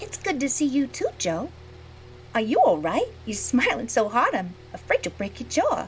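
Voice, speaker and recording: Over clear background noise, a woman puts on a character voice, pitched high and delivered at a moderate pace. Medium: audio drama.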